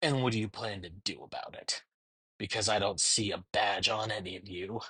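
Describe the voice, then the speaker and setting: This man puts on a character voice at a fairly low pitch. His pitch varies in an ordinary way. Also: moderate pace. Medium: read story. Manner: cold, sneering.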